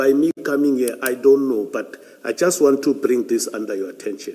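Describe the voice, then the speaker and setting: At a moderate pace, a man with a fairly high pitch speaks with lively intonation over noticeable background noise. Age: 60s. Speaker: police general testifying at an inquiry. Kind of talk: testimony. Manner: halting.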